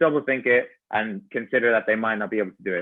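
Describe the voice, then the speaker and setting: In an Irish accent, a man talks at a fairly quick pace with fairly even intonation. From Ireland. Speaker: personal trainer and gymnastics coach. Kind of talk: podcast interview.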